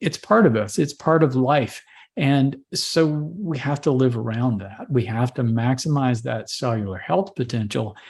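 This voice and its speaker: The speaker goes at a fairly slow pace, sounding somewhat breathy. Intonation is lively, and the background is quiet. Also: man, medium pitch for a man. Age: 60s. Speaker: holistic doctor. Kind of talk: interview.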